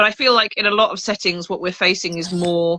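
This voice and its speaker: A woman speaks at a medium pitch with a bright, sharp tone. The sound is dry and close, with no echo. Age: 40s. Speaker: panelist on asexuality. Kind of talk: panel discussion on video call. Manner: halting.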